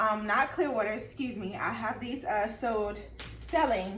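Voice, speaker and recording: A fairly high-pitched woman with ordinary pitch variation, audible room echo and noticeable background noise. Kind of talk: casual tutorial vlog. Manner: casual, halting with fillers.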